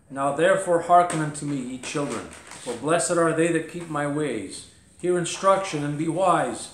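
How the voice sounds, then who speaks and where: The man talks at a moderate pace with ordinary pitch variation. Room echo is audible. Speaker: pastor teaching a Bible lesson. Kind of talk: sermon. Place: home room.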